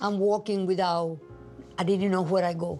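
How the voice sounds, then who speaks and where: A woman talks in a Cuban accent. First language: Spanish. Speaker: singer-songwriter. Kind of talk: interview testimony. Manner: halting.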